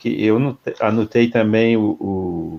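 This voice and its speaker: A man talks with fairly even intonation. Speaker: spiritist federation president. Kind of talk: casual discussion.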